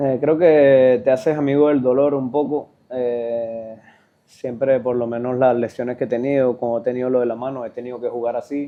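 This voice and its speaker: A man talks at a moderate pace in a medium pitch. His intonation is monotone and flat. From Venezuela, Sucre state. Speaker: professional footballer. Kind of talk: interview.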